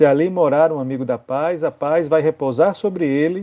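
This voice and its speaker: Here is an ordinary speaking voice from a man, fairly high in pitch. He keeps a moderate pace with ordinary pitch variation. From Brazilian Northeast. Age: 40s. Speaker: Anglican clergy / Bible reflection speaker. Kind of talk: biblical reflection, homily-style.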